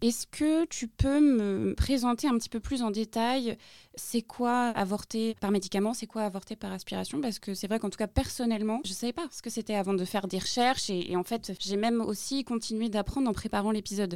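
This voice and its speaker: In a normal speaking voice, a woman talks at a fairly quick pace with hardly any pauses, fairly high pitch and ordinary pitch variation, the very clean recording dry and close with no echo over a silent background. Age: 20s. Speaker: podcast host. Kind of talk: interview. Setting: studio.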